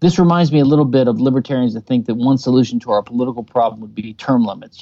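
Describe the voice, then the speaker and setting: A man with an American accent has a dark, mellow tone and ordinary pitch variation. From US South, Louisiana. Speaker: libertarian legal theorist. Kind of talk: interview.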